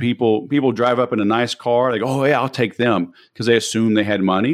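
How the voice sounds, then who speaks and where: Talking at a fairly quick pace with ordinary pitch variation, a man with an American accent has an unremarkable speaking voice. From US South, Louisiana (Baton Rouge). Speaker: sales trainer and entrepreneur. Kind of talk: interview.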